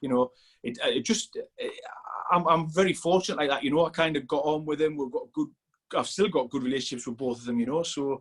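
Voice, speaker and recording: A man speaks very fast with a northeast England accent. His pitch is fairly high, with ordinary variation. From northeast England, Sunderland. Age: 40s. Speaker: strength coach. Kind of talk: casual chat. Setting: podcast interview.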